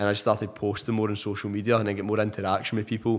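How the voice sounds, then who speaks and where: A man talks at a very fast pace in an Ayrshire accent. His pitch sits in the medium range. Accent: Scottish, Ayrshire. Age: 20s. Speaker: personal trainer. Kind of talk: casual interview chat.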